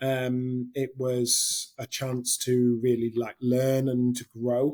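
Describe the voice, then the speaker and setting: A man talks at a medium pitch and a very slow pace. His intonation is monotone and flat. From northern England. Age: 30s. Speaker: hospitality general manager. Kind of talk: interview. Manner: hesitant, many fillers.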